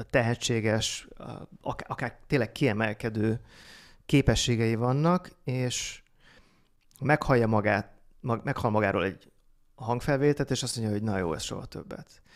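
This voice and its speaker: A man speaks at a moderate pace with ordinary pitch variation. He leaves long, frequent pauses against a quiet background. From Hungary. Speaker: marketing consultant; podcast guest. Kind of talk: casual chat. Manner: trained, lowered pitch. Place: studio. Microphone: studio mic.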